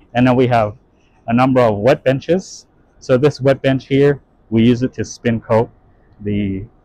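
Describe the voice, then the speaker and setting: A man talks at a fairly slow pace with fairly even intonation, in a dry sound with no echo. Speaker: lab tour guide. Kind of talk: tour commentary. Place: factory. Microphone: phone near.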